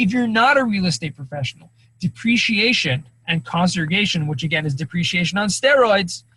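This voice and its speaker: Fairly quick in pace, a man speaks at a high pitch with very wide pitch swings. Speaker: cost segregation specialist presenter. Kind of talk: webinar presentation. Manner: fast.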